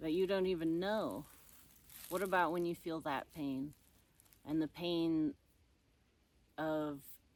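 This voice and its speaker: On a very clean recording with a silent background, a woman speaks very slowly in a fairly low voice, with fairly even intonation and long, frequent pauses. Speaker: ordained reverend giving a sermon. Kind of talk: sermon to camera, casual and reflective. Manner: casual, conversational, pausing to think.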